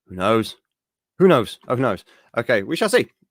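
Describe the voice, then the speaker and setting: A man speaks at a medium pitch in an English accent. The recording is very clean, with a silent background. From England. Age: 30s. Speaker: geek news show host. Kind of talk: casual livestream chat. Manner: rambling, hesitant with fillers.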